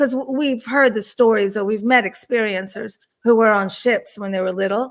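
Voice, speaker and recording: With a Turkish accent, a woman speaks at a moderate pace in a fairly high pitch and fairly even intonation. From Washington DC area, born in Turkey. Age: 60s. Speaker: UFO experiencer and author. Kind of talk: interview chat.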